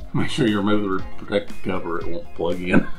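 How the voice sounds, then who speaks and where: Over faint background music, a man talks with ordinary pitch variation. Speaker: product reviewer. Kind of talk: casual product review tutorial. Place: home room.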